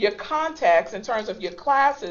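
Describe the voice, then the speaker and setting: A woman talks at a moderate pace with lively intonation. It is a normal speaking voice. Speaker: instructional technology trainer. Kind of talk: online training webinar. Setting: web conference call.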